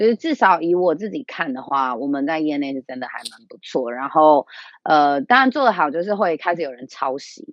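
This woman has a very deep, low pitch and an animated tone, with lively intonation, a moderate pace and big swings in loudness. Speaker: small business owner. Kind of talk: casual interview.

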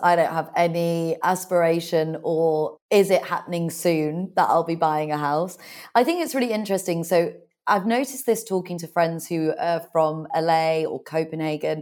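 A woman with a British accent, a fairly low pitch and a moderate pace. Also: ordinary pitch variation. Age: 30s. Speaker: author and business owner. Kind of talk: interview.

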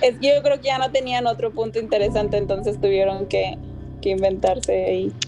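A woman at a medium pitch, lively in intonation, talking fairly quickly over noticeable background noise. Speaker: podcast guest. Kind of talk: casual chat.

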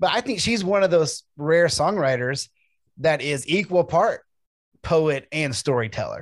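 A man with an American accent and a plain, everyday voice talks at a fairly slow pace, his fairly high pitch carrying lively intonation. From US South, Memphis, Tennessee. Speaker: podcast host. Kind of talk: interview.

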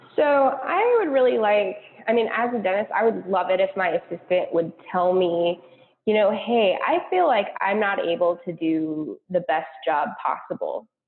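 A woman with an American accent, medium pitch and a moderate pace. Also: lively intonation. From US Pacific Northwest (Seattle, Washington). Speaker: dental student. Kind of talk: interview. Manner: hesitant with frequent fillers.

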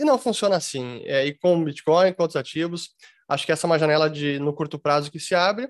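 In a plain, everyday voice, a man talks at a fairly quick pace and fairly high pitch with ordinary pitch variation, the sound dry and close with no echo over a quiet background. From Brazil. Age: 40s. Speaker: crypto investment educator. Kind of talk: interview. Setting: video call.

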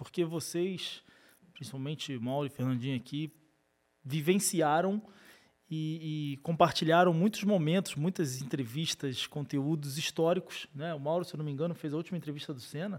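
In a very clean recording with a silent background, a man with a plain, everyday voice speaks at a moderate pace, his fairly high pitch showing ordinary variation. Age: 30s. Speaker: podcast host. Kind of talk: casual chat.

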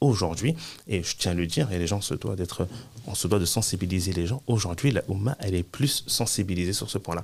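Somewhat breathy, a man with a very deep, low pitch talks at a fairly quick pace. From France. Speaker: Islamic teacher and compliance consultant. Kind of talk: interview.

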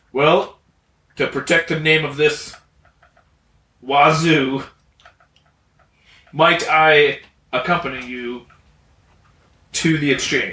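In a gruff, put-on character voice, a man speaks at a fairly high pitch and a very slow pace, leaving long, frequent pauses. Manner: skeptical, blunt.

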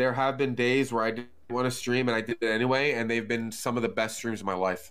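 A plain, everyday voice from a man, medium in pitch, at a fairly quick pace. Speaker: drummer, gamer and streamer. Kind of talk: casual chat.

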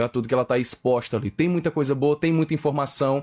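A man's fairly high voice rushes along at a very fast pace. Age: 20s. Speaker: podcast guest. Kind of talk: casual chat.

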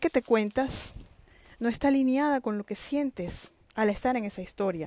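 In a dark, mellow tone, a woman speaks at a moderate pace. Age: 50s. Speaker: author and motivational podcaster. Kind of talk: motivational monologue.

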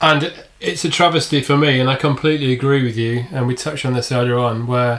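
Medium male pitch against noticeable background noise. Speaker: podcast co-host. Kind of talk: casual interview.

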